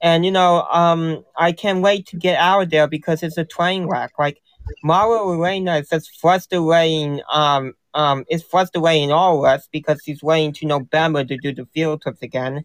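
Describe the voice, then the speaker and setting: A man with an American accent has an unremarkable speaking voice, fairly high in pitch with fairly even intonation, recorded dry and close with no echo. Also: moderate pace. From US Northeast. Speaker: caller. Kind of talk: casual chat. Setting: live stream call-in.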